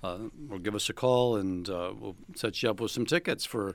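In a normal speaking voice, a man with a fairly low pitch and lively intonation talks at a moderate pace on a very clean recording with a silent background. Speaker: theater director. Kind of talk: radio interview. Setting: studio.

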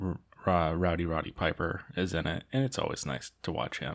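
On a very clean recording with a silent background, a man speaks in a relaxed tone at a very deep, low pitch. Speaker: podcast host, movie diary. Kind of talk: casual solo monologue. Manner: relaxed, filler-heavy.

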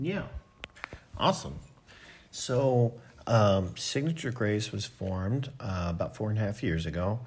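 A man with an American accent speaks fairly slowly in a fairly low, somewhat breathy voice, with lively intonation and long, frequent pauses. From US, Philadelphia suburbs. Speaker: music production company co-founder. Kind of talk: interview testimony. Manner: hesitant, many fillers.

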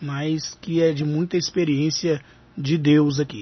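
A somewhat breathy man with fairly high pitch. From Minas Gerais, Ipaba. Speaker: radio host. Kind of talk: radio interview.

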